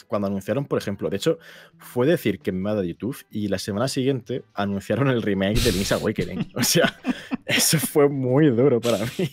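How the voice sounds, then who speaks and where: In a very clean recording with a silent background, a man has a normal speaking voice, a moderate pace, and ordinary pitch variation. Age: 20s. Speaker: YouTuber. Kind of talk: casual chat.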